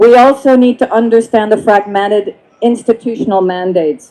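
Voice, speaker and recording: This voice has a dark, mellow tone and a Belgian accent. It moves at a moderate pace with fairly even intonation. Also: woman. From France/Belgium. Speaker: climate policy expert, panelist. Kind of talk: panel discussion.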